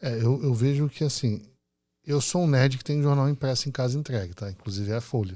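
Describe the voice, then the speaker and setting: A man talks at a fairly quick pace with a medium-pitched, dark and mellow tone and ordinary pitch variation. The recording is very clean, with a silent background. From Rio de Janeiro, Brazil. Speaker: podcast host. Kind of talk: podcast interview.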